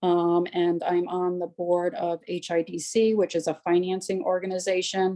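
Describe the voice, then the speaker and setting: A woman speaks in a dark, mellow tone with monotone, flat intonation. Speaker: town economic development official. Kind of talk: public meeting presentation. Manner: fast.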